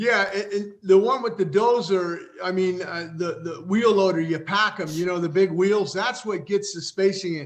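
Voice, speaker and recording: Over noticeable background noise, a man with a high-pitched voice talks at a moderate pace with ordinary pitch variation and hardly any pauses. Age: 60s. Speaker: retired racer and broadcaster. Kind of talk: casual chat. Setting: live stream.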